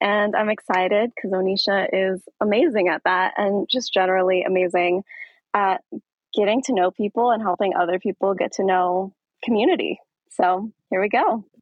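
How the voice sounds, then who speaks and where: A woman with an American accent, a normal speaking voice, medium pitch, fairly even intonation, very even loudness and a moderate pace. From Aurora, Colorado, US. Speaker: dance studio founder and podcast host. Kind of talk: casual interview.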